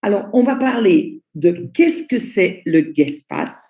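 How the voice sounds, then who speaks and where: A woman's dark, mellow, somewhat breathy voice moves very slowly through very wide pitch swings. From Belgium. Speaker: network marketing trainer. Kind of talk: online training presentation. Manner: slow, deliberate.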